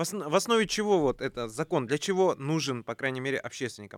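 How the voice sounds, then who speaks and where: The voice moves at a fairly quick pace with very wide pitch swings, captured in a very clean recording with a silent background and a dry, close sound with no echo. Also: man. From Kazakhstan. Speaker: youth movement leader, government adviser. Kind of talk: radio talk show discussion. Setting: radio studio.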